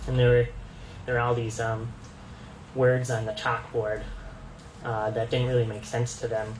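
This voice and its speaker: Long, frequent pauses break up a monotone, flat delivery at a moderate pace. Noticeable background noise and audible room echo are present. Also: man, medium pitch for a man. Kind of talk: presentation. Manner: halting, many fillers.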